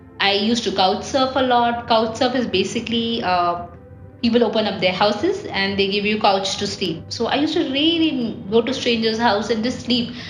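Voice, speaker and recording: With audible room echo and noticeable background noise, a woman speaks at a fairly high pitch and moderate pace with ordinary pitch variation. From India. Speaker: travel vlogger. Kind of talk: casual vlog monologue. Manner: hesitant, many fillers.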